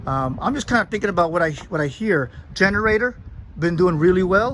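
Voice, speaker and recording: Talking at a fairly quick pace, a man has a high pitch, ordinary pitch variation and a bright, sharp tone. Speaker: van owner and reviewer. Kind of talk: casual video review walkthrough. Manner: fast; halting, many fillers.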